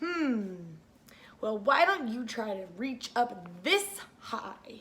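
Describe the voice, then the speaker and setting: The speaker uses a put-on character voice, moving very slowly with very wide pitch swings. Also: woman, fairly high pitch for a woman. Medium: read story.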